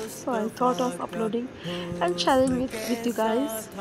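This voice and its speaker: Clear music plays behind a woman who speaks at a moderate pace with ordinary pitch variation. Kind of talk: casual vlog chat. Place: home room. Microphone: phone near.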